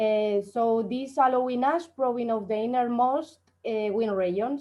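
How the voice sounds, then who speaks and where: An unremarkable speaking voice from a woman, with fairly even intonation. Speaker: astrophysics researcher. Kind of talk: conference talk.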